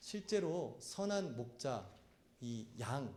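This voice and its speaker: A man's fairly high, somewhat breathy voice with a dark, mellow tone and very wide pitch swings, in audible room echo. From Korea, South Chungcheong. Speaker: pastor. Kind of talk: sermon.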